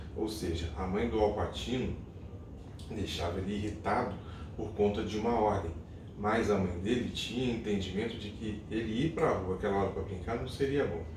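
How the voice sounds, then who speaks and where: A soft-spoken man with a fairly low voice and ordinary pitch variation. The room echo is audible, and there is noticeable background noise. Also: moderate pace. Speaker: lay church devotional leader, father. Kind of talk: devotional talk. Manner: hesitant, many fillers.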